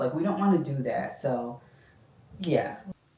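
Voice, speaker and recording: Over noticeable background noise, a woman keeps to a moderate pace. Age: 50s. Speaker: sneaker style content creator. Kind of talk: casual talk to camera.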